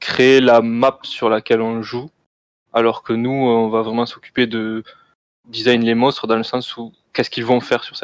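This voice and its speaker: A man's medium-pitched, monotone, flat delivery, with long, frequent pauses and big swings in loudness. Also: moderate pace. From southern France, Toulouse. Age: 20s. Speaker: game designer. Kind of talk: interview.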